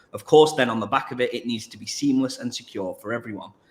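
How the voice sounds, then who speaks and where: A man with an English accent talks at a very fast pace and a medium pitch, with noticeable background noise behind him. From England. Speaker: crypto company marketing executive. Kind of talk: livestream panel interview.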